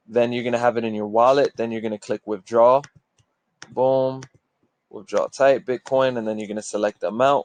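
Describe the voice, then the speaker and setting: Delivered at a moderate pace, the speech has monotone, flat intonation and a dry, close sound with no echo. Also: man. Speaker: forex trading youtuber. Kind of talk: screen-share tutorial. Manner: casual, filler-heavy.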